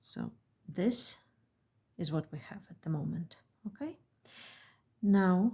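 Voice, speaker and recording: At a very slow pace, a woman with vocal fry speaks at a medium pitch in a dark, mellow tone, her intonation lively and her pauses long and frequent. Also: big swings in loudness. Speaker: beadwork designer and tutorial maker. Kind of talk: tutorial.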